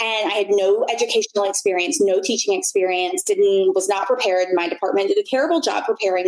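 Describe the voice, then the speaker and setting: A woman's confident, fairly quick speech with very wide pitch swings over noticeable background noise. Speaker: blogger and former university instructor. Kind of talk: casual interview chat. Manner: loud, confident; clearly enunciated.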